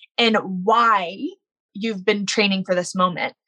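Speaking at a moderate pace with an American accent, a woman has a bright, sharp tone and ordinary pitch variation in a dry, close sound with no echo. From US South, Baton Rouge, Louisiana. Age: 20s. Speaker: para snowboarder. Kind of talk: interview storytelling.

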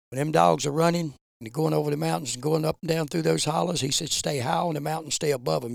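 A man with an Appalachian accent talks at a fairly quick pace, his intonation lively. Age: 70s. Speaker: bear hunter. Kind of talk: storytelling.

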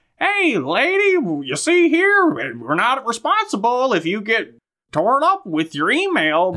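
The speaker puts on a character voice with fairly high pitch and very wide pitch swings. The delivery comes at a fairly slow pace. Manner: brusque.

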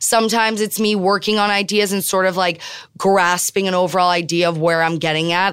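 A woman's normal speaking voice with an American accent, fairly low in pitch, at a moderate pace with fairly even intonation, on a very clean recording with a silent background. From Miami, Florida, US. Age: young. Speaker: photographer and artist. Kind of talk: interview conversation. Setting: studio.

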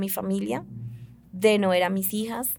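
A woman with an ordinary speaking voice talks at medium pitch. Her intonation stays fairly even. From Colombia, Putumayo. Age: 30s. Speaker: prison inmate and reading promoter. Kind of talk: interview testimony.

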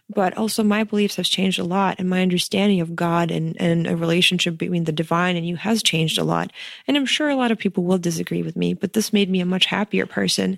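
A woman with a fairly low pitch races along at a very fast pace with hardly any pauses and ordinary pitch variation. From Ukraine (Kyiv). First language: Ukrainian or Russian. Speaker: wedding photographer and entrepreneur. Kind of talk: interview. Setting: in person, Cape Town.

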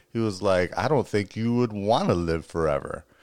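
An unremarkable speaking voice with an American accent moves at a fairly quick pace with lively intonation, on a very clean recording with a silent background. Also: man. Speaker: podcast co-host. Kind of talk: casual chat.

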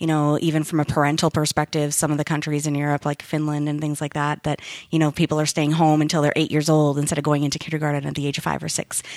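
In a Canadian Prairies accent, a woman with a very deep, low voice talks at a very fast pace with hardly any pauses and monotone, flat intonation, in a dry, close sound with no echo and a very clean recording with a silent background. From Winnipeg, Canada. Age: 40s. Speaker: IT company manager. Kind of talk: interview conversation. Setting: studio.

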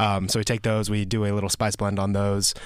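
With an American accent, a man talks at a fairly quick pace with a fairly low pitch. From Georgia, US South. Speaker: chef. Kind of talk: casual chat.

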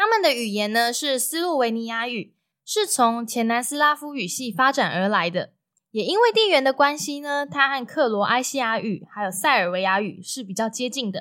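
A woman with a Taiwanese accent speaks at a high pitch in a bright, sharp tone. Her pace is moderate and her intonation lively, on a very clean recording with a silent background. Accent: Taiwanese Mandarin. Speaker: travel podcaster. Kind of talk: solo travel storytelling. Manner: casual, chatty with many filler particles.

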